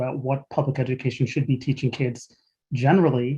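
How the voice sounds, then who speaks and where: A man's very fast, somewhat breathy voice at medium pitch. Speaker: webinar host. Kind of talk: moderated panel discussion.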